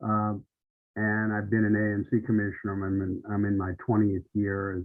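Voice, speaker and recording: Flat, monotone delivery marks a man's fairly low voice as he talks at a moderate speed. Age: 70s. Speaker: retired news editor and local commissioner. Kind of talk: panel discussion. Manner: halting, many fillers.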